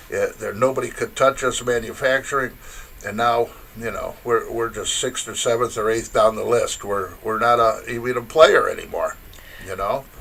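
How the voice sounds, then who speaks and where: Over noticeable background noise, a man talks with a Michigan accent. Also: moderate pace. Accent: Midwestern US (Michigan). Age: 70s. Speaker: interview guest. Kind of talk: casual interview. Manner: halting, many fillers.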